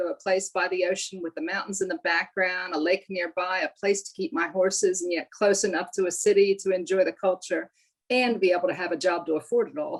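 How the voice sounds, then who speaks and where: Pitch shifts in an ordinary way. The delivery is fairly quick. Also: woman. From US East Coast, near Philadelphia. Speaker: business coach. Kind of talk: interview.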